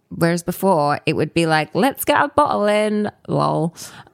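A woman speaks at a moderate pace with a Southern English accent and ordinary pitch variation, her voice dry and close with no echo on a very clean recording over a silent background. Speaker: storytelling company founder. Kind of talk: casual interview chat.

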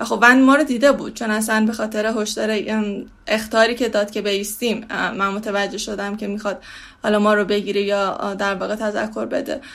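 This woman has a plain, everyday voice pitched fairly high. She talks at a fairly quick pace with fairly even intonation. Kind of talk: testimony.

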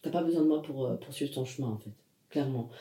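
This man has a dark, mellow tone and a somewhat breathy voice. His pitch is fairly high, with ordinary variation. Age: 20s. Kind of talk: casual interview conversation.

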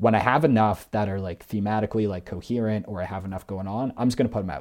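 A man speaks very fast with a Canadian accent at a fairly low pitch. His tone is dark and mellow, and his intonation fairly even. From Canada, Greater Toronto Area. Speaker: musician. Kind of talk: casual chat.

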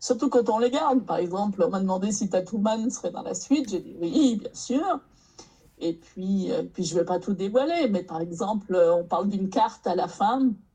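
This is a plain, everyday voice with lively intonation. The pace is moderate. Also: woman, medium pitch for a woman. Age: 60s. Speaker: novelist. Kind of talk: casual chat.

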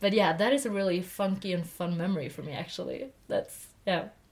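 A woman with a Swedish accent speaks at a moderate pace, at a medium pitch, with ordinary pitch variation. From Sweden. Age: 20s. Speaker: podcast co-host. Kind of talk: casual chat. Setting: sitting in a loft bed.

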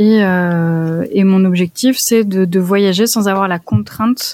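A woman speaks at a very slow pace. Her voice has a dark, mellow tone at a medium pitch. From France, Lyon region. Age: 20s. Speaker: traveler and freelance photographer. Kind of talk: interview conversation. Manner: hesitant, many repeated words.

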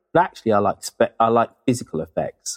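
A man with a British accent speaks at a fairly low pitch. The sound is dry and close, with no echo. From Britain. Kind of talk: casual interview chat. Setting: remote internet call.

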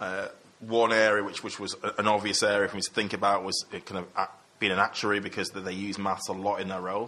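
In a Mancunian accent, a man rattles off words at a very fast pace, his fairly low voice bright and sharp but flat and monotone. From Manchester, England. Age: 30s. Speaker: investment consultant. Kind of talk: casual interview.

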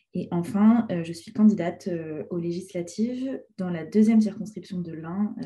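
Somewhat breathy, a woman speaks at a fairly low pitch with a dark, mellow tone and ordinary pitch variation. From France, Ain. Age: 20s. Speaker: teacher. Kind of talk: casual chat.

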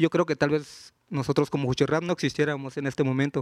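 A man with a fairly high pitch talks at a fairly quick pace in a monotone, flat delivery, on a very clean recording with a silent background and a dry, close sound with no echo. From Juchitán, Oaxaca, Mexico. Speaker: rapper. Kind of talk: live panel interview. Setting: stage with audience at book fair.

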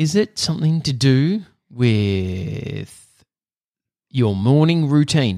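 Very slow and broken by long, frequent pauses, a man's speech in an Australian accent has a dark, mellow tone, a medium pitch, and very wide pitch swings. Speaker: podcast host. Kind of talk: casual chat; scripted announcement.

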